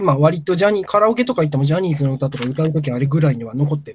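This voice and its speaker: A man's fairly high-pitched, ordinary speaking voice with lively intonation. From Gifu, Japan (rural). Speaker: guest storyteller on culture podcast. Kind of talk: casual chat. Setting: remote call.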